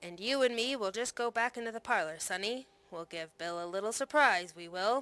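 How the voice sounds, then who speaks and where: Growling through a put-on character voice, the speaker goes at a fairly quick pace. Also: woman, fairly high pitch for a woman. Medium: read story. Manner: snarling, sly.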